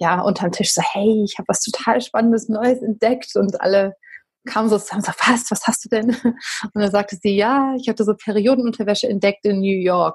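Somewhat breathy and fairly high, a woman's voice moves at a fairly quick pace with fairly even intonation. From Berlin, Germany. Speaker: company founder. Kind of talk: podcast interview. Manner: conversational, many fillers.

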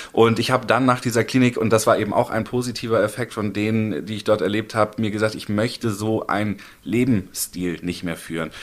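Using a plain, everyday voice, a man speaks at a fairly quick pace and a fairly low pitch, with fairly even intonation and hardly any pauses. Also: very clean recording, silent background. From Hamburg, northern Germany. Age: 30s. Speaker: recovering addict. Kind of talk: interview.

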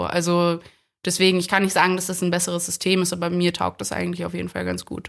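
At a very fast pace, a woman speaks in a monotone, flat intonation at a fairly low pitch. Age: 20s. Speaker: medical student. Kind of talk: casual chat. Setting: online conference call.

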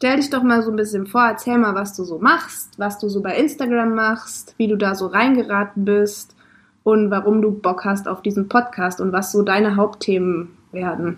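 A somewhat breathy voice at a moderate pace, with ordinary pitch variation. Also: woman, medium pitch for a woman. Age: 20s. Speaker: podcast co-host and social media manager. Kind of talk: casual chat. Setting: in a van.

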